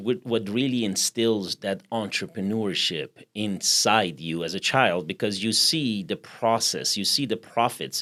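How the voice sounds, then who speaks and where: A man with a Persian accent is heard on a very clean recording with a silent background. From Iran. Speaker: podcast host. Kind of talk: interview conversation.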